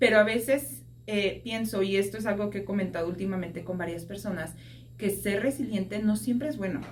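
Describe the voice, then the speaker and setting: A woman talks at a fairly quick pace with a medium pitch, ordinary pitch variation and vocal fry. The room echo is audible. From Mexico, Mexico City. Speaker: podcast guest, social worker. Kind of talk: testimony interview. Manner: conversational, with hesitations.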